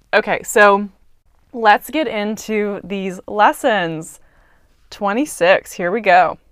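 A woman's medium-pitched voice, very slow, in a dry, close sound with no echo. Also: ordinary pitch variation. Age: 20s. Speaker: podcast host. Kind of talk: solo reflective monologue.

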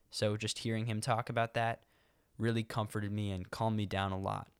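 On a very clean recording with a silent background, a man speaks fairly quickly at a fairly low pitch with monotone, flat intonation. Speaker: student podcast host. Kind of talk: casual podcast intro and interview. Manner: nervous, anxious-sounding.

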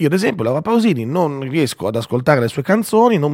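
A man talks at a very fast pace with very wide pitch swings. The recording is very clean and dry, close with no echo and a silent background. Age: 40s. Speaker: radio host. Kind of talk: morning radio show.

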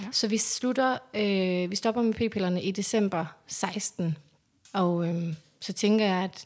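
Very slowly, a woman speaks at medium pitch with ordinary pitch variation. The recording is very clean, with a silent background. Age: 30s. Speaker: interviewee sharing fertility story. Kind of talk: personal testimony. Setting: at home.

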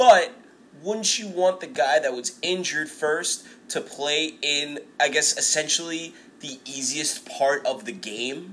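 This man has an unremarkable speaking voice with a fairly high pitch. He talks at a fairly slow pace with lively intonation and big swings in loudness. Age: 30s. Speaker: podcast host. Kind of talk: casual chat. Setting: recorded live.

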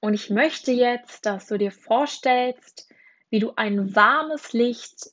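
A woman at a very slow pace and fairly high pitch. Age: 20s. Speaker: life coach. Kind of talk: guided meditation; affirmations read aloud.

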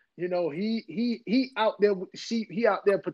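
A man with a North Carolina accent speaks in a high voice. He talks at a fairly slow pace. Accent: Southern US (North Carolina). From US South, Henderson, North Carolina. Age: 40s. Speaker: preacher. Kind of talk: casual interview.

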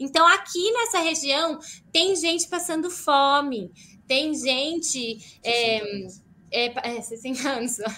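Very slowly, a woman projects a raised, high-pitched voice with a bright, sharp tone and lively intonation. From Brazil. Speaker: missionary. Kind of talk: live-stream interview.

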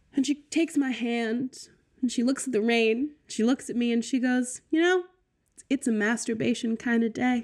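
A high-pitched woman with an American accent, a moderate pace, fairly even intonation and big swings in loudness, on a very clean recording with a silent background. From Virginia, US. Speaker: podcast producer and guest. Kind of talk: casual chat.

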